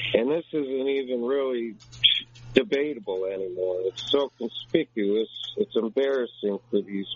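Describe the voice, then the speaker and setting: This man has a plain, everyday voice at a medium pitch, with ordinary pitch variation and a fairly slow pace. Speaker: caller.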